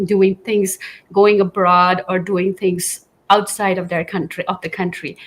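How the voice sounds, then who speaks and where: A woman with a Manipur accent talks at a moderate pace. Her pitch is medium, and her intonation is monotone and flat. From Northeast India, Kohima (Nagaland). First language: Manipuri. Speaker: school principal, former news anchor. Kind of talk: interview.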